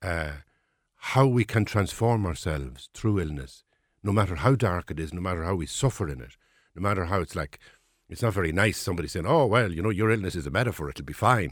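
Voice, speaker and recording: A man with an Irish accent and vocal fry, very deep and low in pitch, at a fairly quick pace with lively intonation on a very clean recording with a silent background. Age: 60s. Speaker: writer and former priest. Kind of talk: interview.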